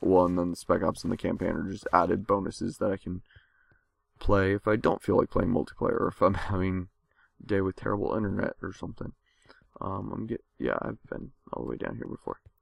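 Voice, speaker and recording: This man's very deep, low voice carries vocal fry and ordinary pitch variation. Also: dry, close sound with no echo. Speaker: gaming YouTuber. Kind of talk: let's play commentary. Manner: casual, hesitant with fillers.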